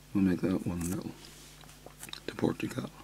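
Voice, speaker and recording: Soft-spoken and monotone with flat intonation, a man with a very deep, low pitch is heard over noticeable background noise. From Ireland. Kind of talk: soft-spoken ASMR talk.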